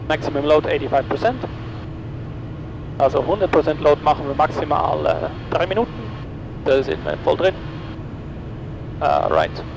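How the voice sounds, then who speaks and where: Pausing long and often, a man speaks at a moderate pace over noticeable background noise. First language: Dutch (speaking German). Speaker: private pilot and vlogger. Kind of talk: casual cockpit vlog narration; aviation radio calls. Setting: small plane cockpit in flight. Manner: hesitant, many fillers.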